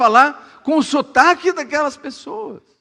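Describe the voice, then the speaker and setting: An animated, raised and projected voice with a bright, sharp tone. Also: man. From Brazil, Suzano (São Paulo state). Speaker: pastor. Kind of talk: sermon.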